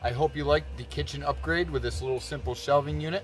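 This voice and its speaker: Over faint background music, a man talks at a fairly quick pace in a dry sound with no echo. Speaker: van life vlogger. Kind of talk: casual vlog chat. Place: car. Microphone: phone near.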